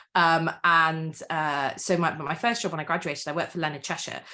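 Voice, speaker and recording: With a slight Welsh accent, a woman talks fairly quickly in a very deep, low pitch and fairly even intonation. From Wales. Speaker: author and campaigner. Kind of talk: interview.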